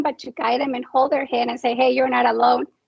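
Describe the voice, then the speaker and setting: A woman speaks with a Spanish accent. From Mexico. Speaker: nonprofit founder, military spouse. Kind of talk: panel discussion.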